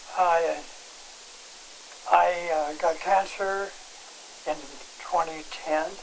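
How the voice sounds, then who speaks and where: A man's high pitch at a very slow pace, with monotone, flat intonation, long, frequent pauses and noticeable background noise. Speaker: patient giving testimonial. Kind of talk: interview testimony. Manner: halting.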